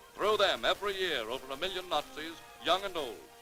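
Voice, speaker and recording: Music plays in the background. The delivery moves at a fairly quick pace. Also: man. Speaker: newsreel narrator. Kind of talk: newsreel narration.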